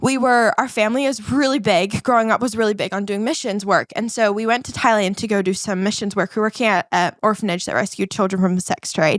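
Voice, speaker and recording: A woman talks very fast in an animated tone with hardly any pauses, her fairly high voice moving with ordinary pitch variation in a dry, close sound with no echo. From New Zealand. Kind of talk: podcast interview, personal testimony.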